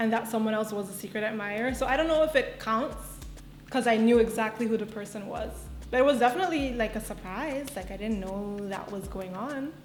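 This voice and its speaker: A woman at a fairly quick pace and a fairly high pitch, with ordinary pitch variation, audible room echo and music in the background. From Aruba. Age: 20s. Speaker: content creator. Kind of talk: get-to-know-me vlog Q&A. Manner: casual, chatty.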